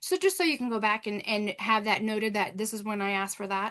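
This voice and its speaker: At a very fast pace, a woman speaks with a bright, sharp tone and a fairly high pitch. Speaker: parent advocate presenter. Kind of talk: webinar presentation. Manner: animated.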